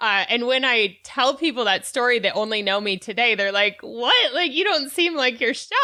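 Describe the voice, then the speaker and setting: A high-pitched woman's voice with lively intonation at a moderate pace, hardly any pauses, and noticeable background noise. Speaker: podcast host. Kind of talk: interview conversation.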